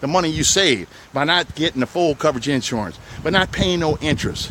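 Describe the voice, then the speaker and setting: Talking at a fairly quick pace with a New Orleans accent, a man with a fairly high voice sounds animated, using ordinary pitch variation over noticeable background noise. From New Orleans West Bank, Louisiana. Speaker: used car dealer. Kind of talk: sales pitch walkthrough video. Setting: outdoors on car lot.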